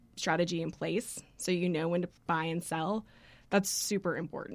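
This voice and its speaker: An unremarkable speaking voice moves at a fairly quick pace with ordinary pitch variation, in a very clean recording with a silent background. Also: woman. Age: 30s. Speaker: financial advisor. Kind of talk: interview.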